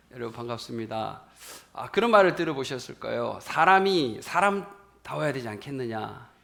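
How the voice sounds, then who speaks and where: The voice makes very wide pitch swings and big swings in loudness, with audible room echo and noticeable background noise. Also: man, medium pitch for a man, moderate pace. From rural South Korea. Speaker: pastor. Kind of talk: sermon.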